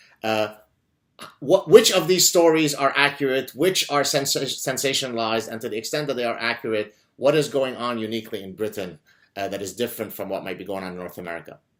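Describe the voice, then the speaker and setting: Speaking very fast with an Arabic accent, a man at medium pitch uses lively intonation and big swings in loudness. The recording is very clean and the background silent. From Lebanon. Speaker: podcast host and professor. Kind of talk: interview conversation. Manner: animated.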